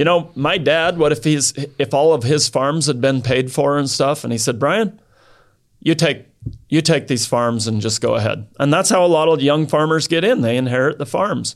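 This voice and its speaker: A man with an American accent, an ordinary speaking voice, fairly high pitch, ordinary pitch variation and a moderate pace. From Idaho. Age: 50s. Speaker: cattle rancher. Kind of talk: casual interview.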